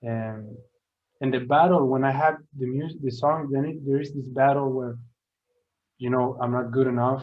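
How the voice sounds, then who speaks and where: A man talks at a moderate pace with monotone, flat intonation. Long, frequent pauses break up his speech, and room echo is audible. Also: medium pitch for a man. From Sweden. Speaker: artist and music producer. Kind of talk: testimony. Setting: speaking to students. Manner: halting, many repeated words.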